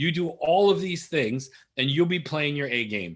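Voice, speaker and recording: A man with a fairly high voice talks in an energetic, animated tone, his pitch varying in an ordinary way. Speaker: marketing webinar presenter. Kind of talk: webinar presentation. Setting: online webinar. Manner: fast.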